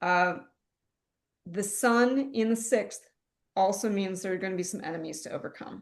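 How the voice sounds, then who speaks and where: Leaving long, frequent pauses, a woman speaks at a moderate pace with ordinary pitch variation and big swings in loudness. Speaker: astrologer, podcast co-host. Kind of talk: casual conversational analysis.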